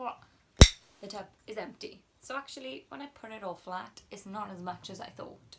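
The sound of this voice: Speaking at a moderate pace, a woman uses a medium pitch with ordinary pitch variation and vocal fry.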